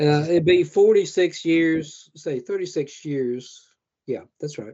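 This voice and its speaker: Speaking very slowly, a man with a Southern US accent has a fairly high pitch and ordinary pitch variation. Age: 60s. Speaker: horror author. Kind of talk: interview. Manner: halting.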